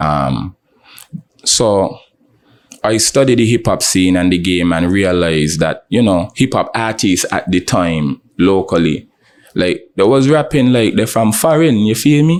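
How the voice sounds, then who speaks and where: In a St Kitts accent, a man speaks at a fairly slow pace and fairly low pitch, with very wide pitch swings but very even loudness. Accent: St Kitts local. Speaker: rapper. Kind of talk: interview. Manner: casual.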